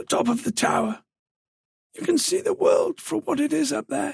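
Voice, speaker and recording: In a raspy, put-on character voice at an extremely high pitch, a man speaks at a moderate pace. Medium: read story.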